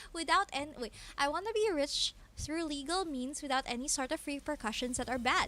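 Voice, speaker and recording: Raised and projected, a woman's voice runs high in pitch with lively intonation, a bright, sharp tone and a fairly quick pace. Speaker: game streamer. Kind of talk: live gameplay stream commentary. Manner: casual, hesitant with many fillers.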